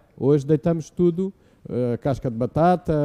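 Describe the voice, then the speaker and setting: A man speaks in a dark, mellow tone at a fairly high pitch. The sound is dry and close, with no echo. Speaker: engineering professor and researcher. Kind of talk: live public Q&A explaining to children. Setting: live session with audience in a room.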